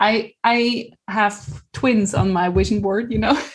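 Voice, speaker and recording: A woman speaks very slowly with lively intonation. Her voice is somewhat breathy and fairly high in pitch. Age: 40s. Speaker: mother and life coach. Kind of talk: personal testimony.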